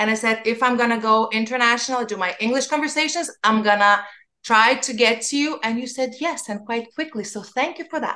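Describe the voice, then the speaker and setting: A woman's fairly high, bright, sharp voice at a fairly quick pace. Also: ordinary pitch variation. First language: not English. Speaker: podcast host. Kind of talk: podcast interview.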